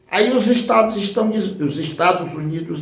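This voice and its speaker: A man's high-pitched voice with very wide pitch swings and audible room echo. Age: 60s. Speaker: political activist. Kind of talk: political speech.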